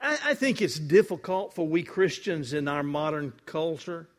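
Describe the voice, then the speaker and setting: A man with a Southern US accent, fairly high-pitched, with lively intonation and a fairly slow pace, on a very clean recording with a silent background. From US South, Mississippi. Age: 70s. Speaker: guest preacher. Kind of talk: sermon. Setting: church.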